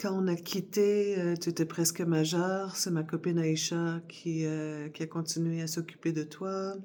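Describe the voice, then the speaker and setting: On a very clean recording with a silent background, a woman speaks at a fairly slow pace with hardly any pauses, her fairly low, dark, mellow voice monotone and flat. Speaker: vlogger. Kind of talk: casual chat. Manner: hesitant, many fillers.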